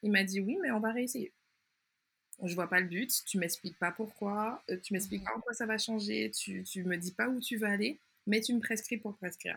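Medium pitch, ordinary pitch variation and a moderate pace from a woman with a normal speaking voice. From Martinique. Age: 20s. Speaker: anthropologist and patient expert. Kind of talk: interview testimony.

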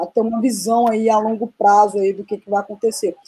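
Fairly high in pitch, a woman's voice has a dark, mellow tone. The sound is dry and close, with no echo. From Brazil, Minas Gerais (Serra da Canastra). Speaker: podcast co-host, coffee export businesswoman. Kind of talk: casual chat.

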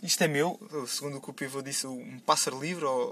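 A man speaks with a European Portuguese accent. His tone is bright and sharp. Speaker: podcast segment contributor. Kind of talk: casual monologue.

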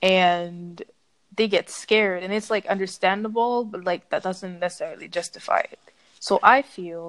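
A woman speaks at a moderate pace with a medium pitch and fairly even intonation. She has a normal speaking voice. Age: 20s. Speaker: student and podcaster. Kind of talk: casual interview.

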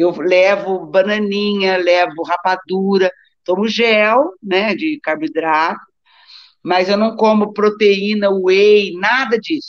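A woman talks at a very slow pace. Her medium pitch shows ordinary pitch variation. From Brazil, Taubaté (São Paulo state). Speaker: doctor and amateur athlete. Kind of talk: casual interview chat.

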